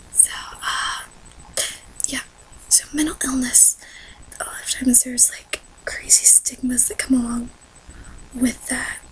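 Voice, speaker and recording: A woman whispers at a fairly slow pace with long, frequent pauses over noticeable background noise. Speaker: vlogger. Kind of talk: personal vlog. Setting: dark room at night, home. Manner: whispering, quiet; hesitant, many fillers.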